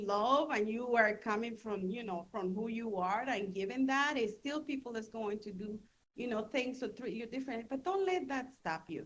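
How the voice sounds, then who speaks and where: The delivery comes at a moderate pace. It is a woman, in a Spanish accent. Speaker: city council member and union leader. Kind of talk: panel discussion. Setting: stage with audience. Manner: soft-spoken; halting, many repetitions.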